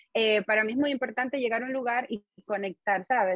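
With fairly even intonation, a woman speaks quite quickly at a fairly high pitch, the sound dry and close with no echo. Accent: eastern Cuban. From Cuba, Holguín (eastern Cuba). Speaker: musician and singer. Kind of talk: interview.

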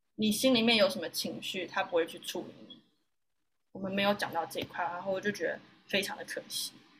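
A woman speaks at a fairly quick pace with a medium pitch. Her pitch varies in an ordinary way, while her loudness swings widely. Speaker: yoga teacher and university student. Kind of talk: interview. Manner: animated.

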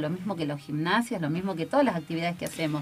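A woman's fairly low voice at a very fast pace. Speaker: primary health care worker. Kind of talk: radio interview. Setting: radio studio. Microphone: too quiet, needs more volume.

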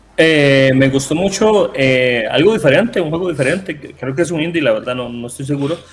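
Talking at a fairly quick pace with hardly any pauses, a man uses a fairly high pitch and ordinary pitch variation over noticeable background noise. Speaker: gaming content creator. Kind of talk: casual chat.

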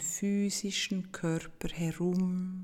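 A woman speaks at a very slow pace. Her tone is dark and mellow, gentle and calm. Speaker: meditation guide. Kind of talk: guided meditation. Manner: slow, calm, soothing; gentle, with long pauses.

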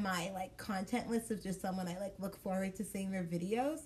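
A woman with an American accent at a fairly quick pace, ordinary pitch variation, and noticeable background noise. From Dallas, Texas. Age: 20s. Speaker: podcast co-host. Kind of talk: casual chat.

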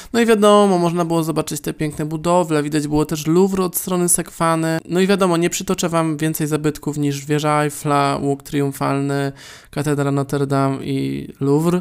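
A man with a plain, everyday voice talks at a fairly high pitch and moderate pace, with hardly any pauses and fairly even intonation, in a very clean recording with a silent background. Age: 20s. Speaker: podcaster. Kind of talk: solo podcast monologue.

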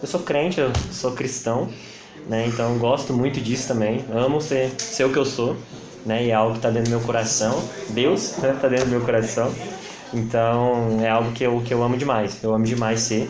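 Music plays in the background as a man with a medium pitch talks at a moderate pace, his intonation fairly even and loudness very even, with audible room echo. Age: 20s. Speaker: physiotherapist. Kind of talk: casual chat.

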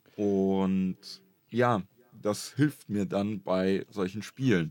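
On a very clean recording with a silent background, a man uses a normal speaking voice with fairly low pitch and ordinary pitch variation. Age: 20s. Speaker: YouTuber and streamer. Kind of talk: casual chat.

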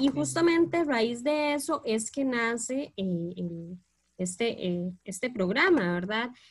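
The voice moves through very wide pitch swings at a very slow pace. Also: woman, fairly high pitch for a woman. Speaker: teacher, podcast co-host. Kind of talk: casual panel discussion.

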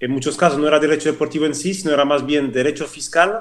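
At a very fast pace, a man talks in a fairly high pitch. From French-speaking Switzerland. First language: French (speaking Spanish). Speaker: former football club CEO and lawyer. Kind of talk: interview. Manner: repetitive, halting with many false starts.

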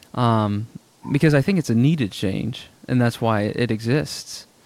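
At a fairly slow pace, a man talks in a plain, everyday voice, medium in pitch with ordinary pitch variation. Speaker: podcast host. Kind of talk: casual chat.

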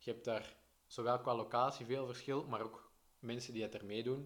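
A man with medium pitch talks at a moderate pace. His intonation is monotone and flat. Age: 20s. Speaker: triathlete and press officer. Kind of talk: casual chat. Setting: in person, arrived running.

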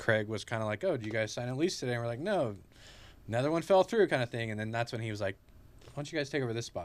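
A man with a Californian accent at a medium pitch, on a very clean recording with a silent background. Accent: Californian American. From Central California (Clovis, Fresno area). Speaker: local shop owner. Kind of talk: casual chat.

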